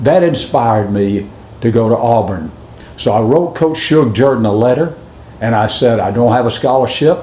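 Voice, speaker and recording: A man with a Southern US accent at a medium pitch, very even loudness, audible room echo and noticeable background noise. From US South, Alabama. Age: 70s. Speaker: former college football kicker. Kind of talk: recorded acceptance speech.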